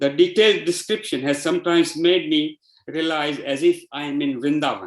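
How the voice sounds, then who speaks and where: With a Gujarati accent, a man speaks fairly quickly at a fairly high pitch and ordinary pitch variation. The recording is very clean, with a silent background. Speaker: devotee giving a testimonial. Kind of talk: testimony.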